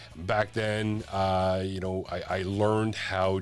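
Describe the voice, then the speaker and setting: A man speaks with music playing in the background. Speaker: online radio channel host. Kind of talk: casual vlog monologue. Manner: halting, many fillers.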